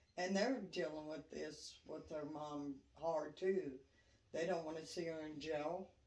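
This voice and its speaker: In a room with audible echo, a woman speaks with a very deep, low pitch and ordinary pitch variation. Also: fairly slow pace. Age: 60s. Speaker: interviewee, grandmother. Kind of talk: interview.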